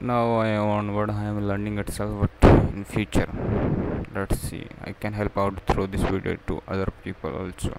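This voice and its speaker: A man at a moderate pace, dry sound with no echo, amid loud background noise. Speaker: english learner vlogger. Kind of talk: casual vlog chat. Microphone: webcam.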